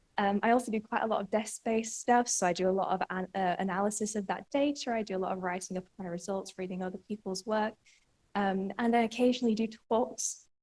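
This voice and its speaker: A woman with a strong northern English accent, medium pitch, fairly even intonation and a very fast pace. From northern England. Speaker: PhD student researcher. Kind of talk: conference talk. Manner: halting, many fillers.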